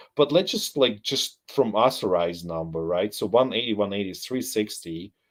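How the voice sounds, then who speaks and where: A man with a non-native accent talks at a moderate pace in a fairly low pitch, with ordinary pitch variation. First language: not English. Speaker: live stream military analyst. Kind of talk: live stream commentary. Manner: halting.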